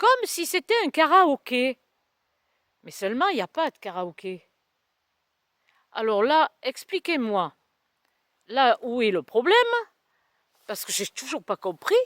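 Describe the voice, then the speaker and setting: Speaking at a fairly slow pace with long, frequent pauses, a woman uses a high pitch with very wide pitch swings and big swings in loudness, in a dry, close sound with no echo. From southern France. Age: 60s. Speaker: vlogger. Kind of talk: casual vlog monologue. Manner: hesitant, many fillers.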